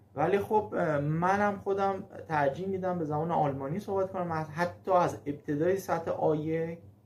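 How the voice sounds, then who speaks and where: With ordinary pitch variation, the man talks in a fairly high voice. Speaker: German language teacher. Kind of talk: casual video talk. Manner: halting, frequent fillers.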